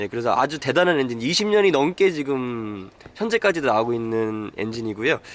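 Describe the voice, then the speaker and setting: Speaking at a fairly quick pace, this man has a medium pitch. His pitch swings very wide. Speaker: car reviewer. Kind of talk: car review walkaround talk.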